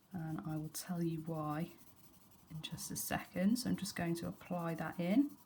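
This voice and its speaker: At a moderate pace, a woman speaks in a fairly low, somewhat breathy voice with a dark, mellow tone. Her pitch varies in an ordinary way. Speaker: art teacher. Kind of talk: tutorial.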